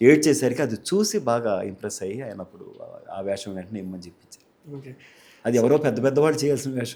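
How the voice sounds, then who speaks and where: A man's dark, mellow voice carries lively intonation and big swings in loudness. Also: medium pitch for a man. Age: 60s. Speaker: film actor. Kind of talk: interview answer.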